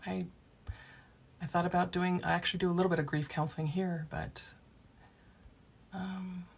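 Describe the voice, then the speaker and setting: A somewhat breathy woman's voice, fairly low in pitch, at a moderate pace with long, frequent pauses and big swings in loudness. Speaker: past life regression therapist. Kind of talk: livestream chat with viewers. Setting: live video stream from office.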